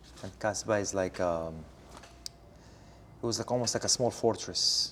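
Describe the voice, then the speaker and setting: A man's fairly low voice with an Arabic accent, ordinary pitch variation and a moderate pace. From Morocco, Casablanca. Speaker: interviewee. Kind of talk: interview. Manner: halting, many fillers.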